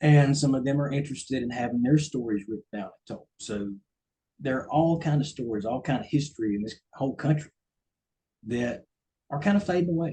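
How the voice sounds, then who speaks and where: A man's somewhat breathy, dark, mellow voice, fairly high in pitch, in a strong Southern US accent, with ordinary pitch variation at a fairly quick pace. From US South, coastal Georgia. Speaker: ghostwriter. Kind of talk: talk to a club. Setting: meeting with audience.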